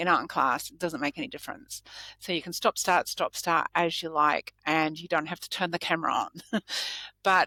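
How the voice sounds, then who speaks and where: A woman with a fairly low pitch and a bright, sharp tone speaks at a moderate pace in a very clean recording with a silent background and a dry, close sound with no echo. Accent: Australian. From Australia. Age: 60s. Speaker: lawyer. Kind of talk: podcast interview answer.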